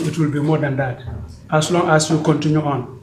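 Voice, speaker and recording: A man speaks with audible room echo. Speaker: member of an organization. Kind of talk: meeting speech. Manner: loud.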